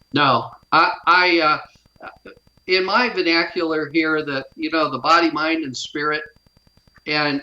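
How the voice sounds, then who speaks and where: This man has a plain, everyday voice with an American accent. His pitch sits fairly high, and he talks at a fairly slow pace. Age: 60s. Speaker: near-death experience survivor. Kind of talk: testimony.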